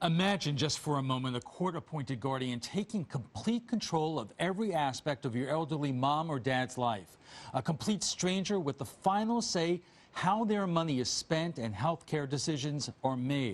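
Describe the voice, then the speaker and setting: A man with a normal speaking voice talks at a moderate pace, pitched fairly high, with lively intonation. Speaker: TV news anchor. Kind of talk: TV news intro read.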